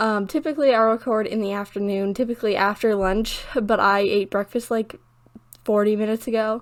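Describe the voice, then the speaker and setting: A woman talks with a fairly high pitch. Her intonation stays fairly even. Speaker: gaming youtuber. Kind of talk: casual voiceover chat. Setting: home recording alone in room. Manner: fast.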